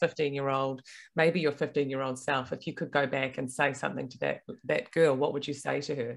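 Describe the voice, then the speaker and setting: Delivered at a moderate pace with a New Zealand accent, the speech comes through on a very clean recording with a silent background. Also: woman. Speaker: podcast host. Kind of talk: interview.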